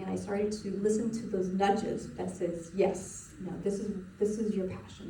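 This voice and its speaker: A woman talks at a fairly quick pace in a monotone, with flat intonation. Audible room echo and noticeable background noise surround her voice. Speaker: spiritual coach. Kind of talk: webinar presentation. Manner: fast; casual, halting with fillers.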